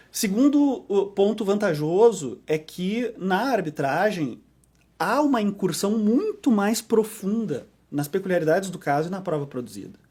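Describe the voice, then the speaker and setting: A man's high-pitched, lively voice with a southern Brazilian accent at a fairly slow pace. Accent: southern Brazilian (gaúcho). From southern Brazil, Porto Alegre. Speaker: arbitration lawyer. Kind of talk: podcast interview. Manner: frequent fillers and repetitions.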